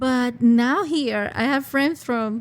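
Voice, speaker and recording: High female voice with ordinary pitch variation. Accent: Spanish. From Venezuela, Caracas. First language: Spanish. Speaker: international student services coordinator. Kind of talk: podcast interview.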